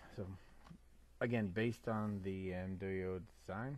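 The speaker is mumbling, with ordinary pitch variation. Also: man. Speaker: scale model builder. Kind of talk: casual talk to camera. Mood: calm, content. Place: workshop. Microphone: phone near.

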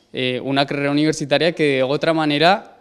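Fairly even intonation marks this man's speech, delivered at a very fast pace. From Colombia. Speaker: university student and cook. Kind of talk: interview. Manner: hesitant, many fillers. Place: classroom. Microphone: handheld.

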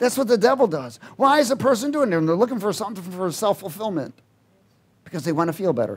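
Very fast speech from a man with very wide pitch swings. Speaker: preacher. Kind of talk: sermon. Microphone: headset.

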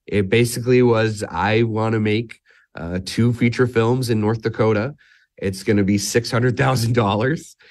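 A man with a plain, everyday voice talks in an American accent at a fairly slow pace, his medium pitch and fairly even intonation set against a quiet background. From US Midwest. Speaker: filmmaker. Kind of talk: interview. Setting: studio.

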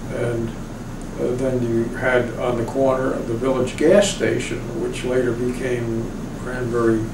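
A man's fairly even intonation comes through above noticeable background noise. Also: fairly slow pace. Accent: American. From Sayville, Long Island, New York. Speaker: oral history interviewee. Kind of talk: oral history interview answer.

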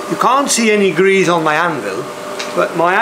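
A man speaks in a high voice. Noticeable background noise runs behind him. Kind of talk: tutorial. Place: workshop.

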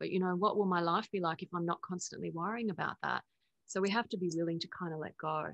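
A very fast Australian accent with ordinary pitch variation, over a quiet background. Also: woman. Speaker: spiritual teacher and author; spiritual teacher. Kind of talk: interview. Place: home room. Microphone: video call.

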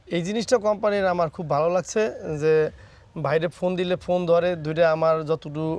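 The speaker is a man with a fairly high pitch. He talks in a plain, everyday voice. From Barisal, Bangladesh. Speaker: cattle farmer. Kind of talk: interview testimony.

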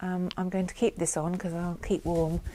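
A woman with a fairly low voice talks at a moderate pace, her intonation flat and monotone, against noticeable background noise. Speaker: knitting podcaster. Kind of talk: casual vlog chat. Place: home room. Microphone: lapel.

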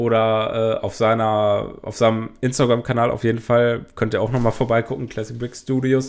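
The man's delivery is fairly quick, medium in pitch, and monotone with flat intonation. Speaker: YouTuber reviewing toy sets. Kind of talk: casual video commentary. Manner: frequent filler hesitations.

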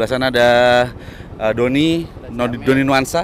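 A man talks at a fairly quick pace with ordinary pitch variation, the sound dry with no echo and light background noise present. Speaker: conservation program host. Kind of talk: casual vlog chat. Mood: warm, thankful. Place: waterside. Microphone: lapel.

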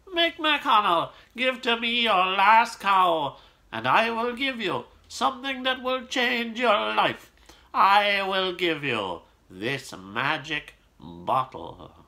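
A man puts on a character voice with a high pitch. He speaks at a very slow pace. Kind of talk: storytelling, voicing a character's lines. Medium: read story. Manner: confident, assured. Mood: sly, confident offer.

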